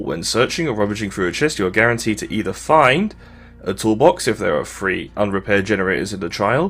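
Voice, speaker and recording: Music plays in the background as a man speaks at a fairly quick pace. His pitch swings very wide. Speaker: gaming youtuber. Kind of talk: tutorial. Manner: stutter; halting.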